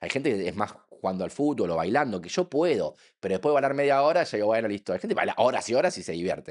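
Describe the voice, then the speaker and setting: A man talks at a very fast pace in an animated tone, his pitch swinging very widely. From Argentina. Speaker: physicist and science communicator. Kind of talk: podcast interview.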